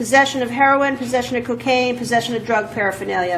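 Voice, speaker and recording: A woman speaks in a high voice. Noticeable background noise and audible room echo surround her. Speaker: judge. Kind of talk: court hearing. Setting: courtroom.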